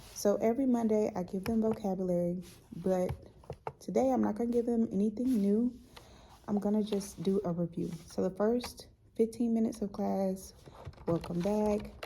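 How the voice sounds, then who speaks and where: A woman with an ordinary speaking voice talks at medium pitch and a moderate pace, her intonation fairly even. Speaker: high school art teacher. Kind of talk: casual vlog.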